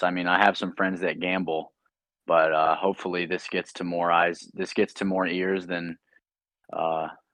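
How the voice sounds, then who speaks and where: Over a quiet background, a man with a very deep, low pitch talks at a moderate pace in a dry, close sound with no echo. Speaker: podcast co-host. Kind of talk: casual chat. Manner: monotone.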